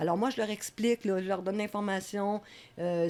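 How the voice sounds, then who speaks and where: A woman with a plain, everyday voice speaks at medium pitch with fairly even intonation. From Quebec, Laval. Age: 60s. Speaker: community worker. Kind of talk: interview.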